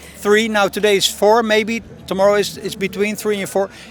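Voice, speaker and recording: A man's high, monotone voice with flat intonation at a fairly quick pace, over noticeable background noise. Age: 60s. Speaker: age-group triathlete. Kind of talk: interview. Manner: halting, many repetitions and fillers.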